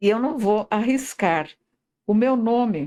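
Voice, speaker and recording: With ordinary variation in her pitch, the woman talks in a fairly high register. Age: 80s+. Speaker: hospital president, volunteer. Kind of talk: interview. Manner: halting.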